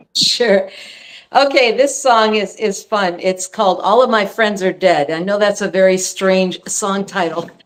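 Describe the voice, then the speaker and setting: A woman speaks at a fairly slow pace with a medium pitch and ordinary pitch variation. Noticeable background noise runs behind her. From California. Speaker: singer-songwriter. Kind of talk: casual chat.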